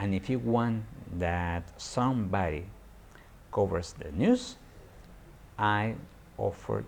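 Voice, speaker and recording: A man's fairly low-pitched voice with vocal fry and a Peruvian accent. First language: Spanish. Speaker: environmental journalist. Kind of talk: live stream monologue. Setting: live stream on social media. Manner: halting, many repetitions.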